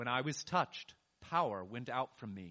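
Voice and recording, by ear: Against a quiet background, this is reading aloud in a natural voice with lively intonation.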